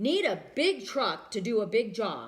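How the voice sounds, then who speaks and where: Using a put-on character voice, a woman speaks at a fairly high pitch with very wide pitch swings. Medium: read story. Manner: terse, plainspoken.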